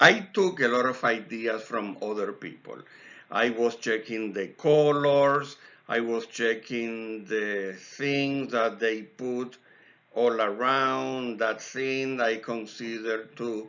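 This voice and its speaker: A man with a medium pitch delivers his words very slowly, his intonation fairly even. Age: 50s. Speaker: scale model hobbyist. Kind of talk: tutorial. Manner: casual.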